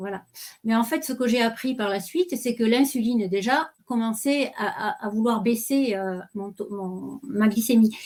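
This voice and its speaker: Fairly slow speech from a woman with a fairly high voice and ordinary pitch variation. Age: 60s. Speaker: retiree sharing health testimony. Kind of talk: testimony. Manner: hesitant.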